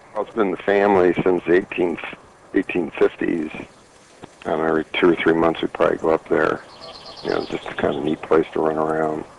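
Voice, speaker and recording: With noticeable background noise behind him, a man speaks with long, frequent pauses. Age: 60s. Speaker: retired physician and cancer patient. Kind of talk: testimony.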